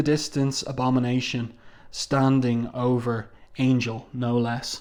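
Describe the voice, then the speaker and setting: A man speaks at a fairly slow pace with an Irish accent. His pitch sits in the medium range, and the recording is very clean over a silent background. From Ireland. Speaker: comic book reviewer. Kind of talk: review commentary. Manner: casual, with frequent fillers.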